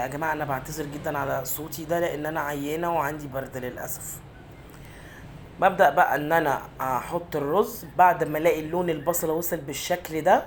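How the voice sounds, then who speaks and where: A woman's very deep, low voice in an Egyptian accent, moderate in pace, with audible room echo. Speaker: cooking channel host. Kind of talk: cooking tutorial. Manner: halting.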